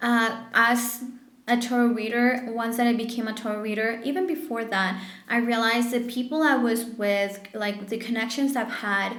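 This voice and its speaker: With audible room echo, a woman talks at a moderate pace in a fairly high voice, her intonation fairly even. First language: French or Spanish. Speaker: tarot reader. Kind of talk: tarot reading monologue. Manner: casual, halting with fillers.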